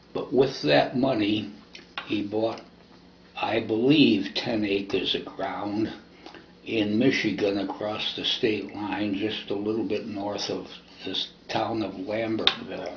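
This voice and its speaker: Very slowly and with fairly even intonation, a man speaks at a fairly low pitch. Audible room echo and noticeable background noise surround his voice. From US Midwest, Toledo, Ohio. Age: 80s+. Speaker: oral history interviewee. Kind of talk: oral history testimony.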